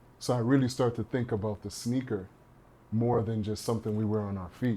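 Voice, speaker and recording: Speaking in a Trinidadian accent, a man has a dark, mellow tone and medium pitch. His pace is fairly quick and his intonation fairly even. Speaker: partnerships and marketing professional. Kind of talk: podcast interview.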